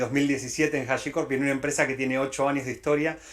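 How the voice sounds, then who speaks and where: A man speaks in a monotone, flat intonation. His pitch is fairly high. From Latin America. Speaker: tech company director. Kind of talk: conference talk. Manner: hesitant with many fillers.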